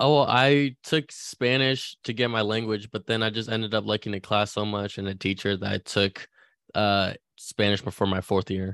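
Speaking with a Californian accent, a man uses a fairly low pitch and fairly even intonation. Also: moderate pace, dry, close sound with no echo, very clean recording, silent background. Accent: general Californian American. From California, child of Chinese immigrants. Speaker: sports podcast host. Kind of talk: casual chat.

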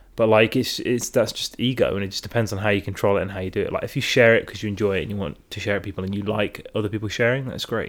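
A man with an English Midlands accent talks at a very fast pace with hardly any pauses. His pitch is fairly low and his intonation fairly even. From England, Derby. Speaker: podcast host. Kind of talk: casual chat. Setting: at home on the sofa.

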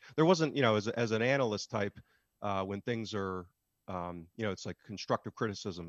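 A plain, everyday voice from a man, fairly low in pitch with ordinary pitch variation, over a quiet background. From United States. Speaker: football analytics podcaster. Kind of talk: interview.

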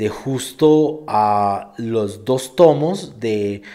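A man's voice with a dark, mellow tone. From England, London. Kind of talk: live Q&A stream. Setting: live stream.

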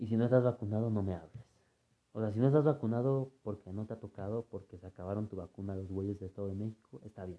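Speaking very fast with a Mexico City accent, a man has a fairly low pitch, a dark, mellow tone, ordinary pitch variation and big swings in loudness. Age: 20s. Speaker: podcaster. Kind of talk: casual monologue.

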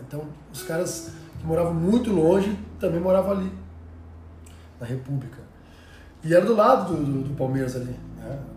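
In a room with audible echo and noticeable background noise, a man with a fairly high pitch speaks at a moderate pace with lively intonation, big swings in loudness, and long, frequent pauses. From Rio Grande do Sul, Brazil (Cachoeira do Sul). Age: 40s. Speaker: former professional basketball player. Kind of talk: casual interview chat.

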